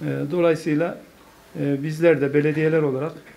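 The man's pitch sits fairly high. He speaks at a moderate pace. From Turkey, Konya; Turkey. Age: 50s. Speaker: mayor. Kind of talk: speech to an association; formal speech at meeting. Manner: hesitant, many fillers. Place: meeting room. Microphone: podium.

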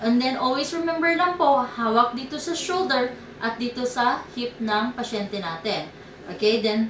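Over light background noise and audible room echo, a woman speaks at a fairly slow pace. Her pitch is high. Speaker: therapist demonstrating exercises. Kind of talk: tutorial. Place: home room. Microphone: camera far.

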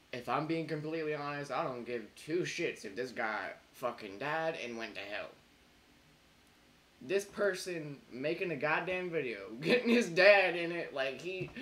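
Noticeable noise sits in the background. The talking keeps a moderate pace. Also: man. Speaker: reaction video creator. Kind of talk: ranting commentary. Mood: mocking, angry, laughing. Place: home room.

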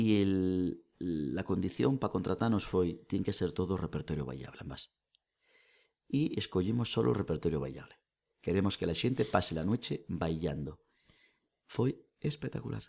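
The voice has vocal fry and very wide pitch swings. Its pace is moderate. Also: man, very deep, low pitch for a man. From Asturias, Spain (lower Nalón area). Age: 40s. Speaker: folk singer, nurse and oral tradition researcher. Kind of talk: casual chat. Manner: animated.

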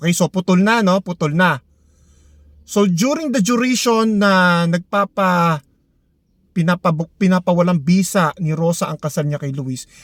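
A man talks at a high pitch with ordinary pitch variation. His pace is fairly slow, and the sound is dry and close with no echo. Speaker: lawyer giving legal advice. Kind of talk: legal explainer monologue. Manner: halting, many fillers.

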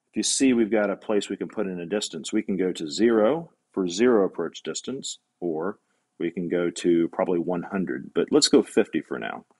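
Against a quiet background, a man with a plain, everyday voice speaks at a moderate pace and a fairly low pitch. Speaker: robot welding instructor. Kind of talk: tutorial. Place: workshop.

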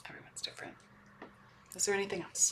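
A woman whispering at a very fast pace. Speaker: spiritual channeler. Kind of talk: channeled spiritual talk to camera. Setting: hotel room. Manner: halting, many fillers. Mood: calm, earnest, meditative. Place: home room. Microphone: webcam.

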